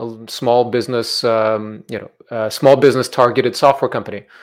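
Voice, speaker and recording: An unremarkable speaking voice from a man, medium pitch, ordinary pitch variation, fairly quick pace. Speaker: podcast host. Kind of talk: interview.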